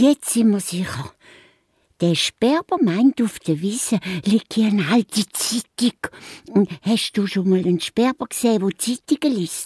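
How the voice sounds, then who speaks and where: Put-on character voice from a woman, fairly high, moderately paced. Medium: audio drama. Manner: lively.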